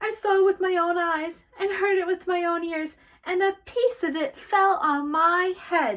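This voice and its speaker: An extremely high-pitched put-on character voice from a woman. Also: moderate pace. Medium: read story. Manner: alarmed, earnest.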